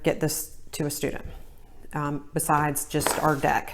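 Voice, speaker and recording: A woman with a Southern US accent speaks in a very deep, low pitch. Her pitch varies in an ordinary way. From US South. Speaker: reading tutor. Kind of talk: tutorial.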